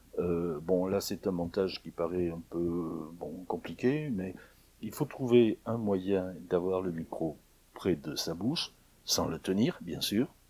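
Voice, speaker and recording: Dark, mellow tone at a very slow pace, ordinary pitch variation, on a very clean recording with a silent background. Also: man, very deep, low pitch for a man. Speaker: audio recording tutorial maker. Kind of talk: tutorial. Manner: hesitant, many filler sounds. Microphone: recorder mic on stand close to mouth.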